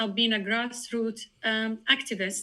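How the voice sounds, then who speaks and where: Her voice is fairly high and bright, with a sharp tone: a woman speaking. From Palestine. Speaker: community activist and political candidate. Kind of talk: interview.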